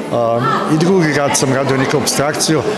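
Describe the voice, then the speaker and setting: A man is speaking. Crowd noise can be heard in the background. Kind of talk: interview answer. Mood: warm, pleased, lightly joking. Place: hall. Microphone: handheld.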